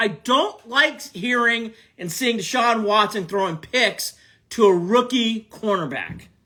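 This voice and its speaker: A man with an American accent uses a raised, projected voice, high-pitched, animated and bright and sharp in tone, in a very clean recording with a silent background. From Cleveland, Ohio, US Midwest. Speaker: sports podcast host. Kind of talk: live-stream sports talk reacting to chat. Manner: animated, loud; repetitive, emphatic.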